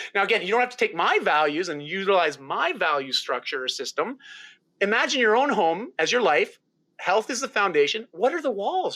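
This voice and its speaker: This man's raised, projected voice sits high in pitch and swings very widely, with a bright, sharp tone. He moves at a fairly quick pace. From rural Ontario, Canada. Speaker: health and lifestyle coach. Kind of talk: interview. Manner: animated.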